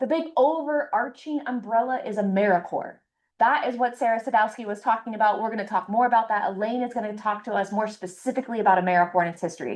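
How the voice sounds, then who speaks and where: Speaking at a very fast pace, a woman uses a fairly high pitch. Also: ordinary pitch variation. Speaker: program coordinator. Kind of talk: orientation presentation.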